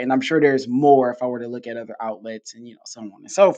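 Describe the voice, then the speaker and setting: Speaking with an American accent, a man lets his pitch vary in an ordinary way. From Detroit, US. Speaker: podcast host and teacher. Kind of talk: interview.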